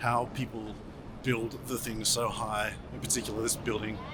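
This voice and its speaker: A man with an Australian accent at medium pitch and a moderate pace, over noticeable background noise. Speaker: vlogger and marketing strategist. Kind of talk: travel vlog narration; interview.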